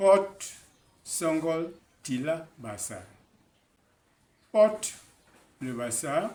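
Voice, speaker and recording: Speaking at a very slow pace with long, frequent pauses, a man with a fairly high pitch uses lively intonation. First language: Basaa (speaking French). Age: 80s+. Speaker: author. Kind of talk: interview.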